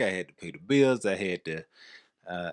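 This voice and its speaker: In a Southern US accent, a man speaks with a very deep, low pitch and lively intonation. The recording is very clean, with a silent background. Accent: Southern drawl. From American South. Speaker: podcast co-host.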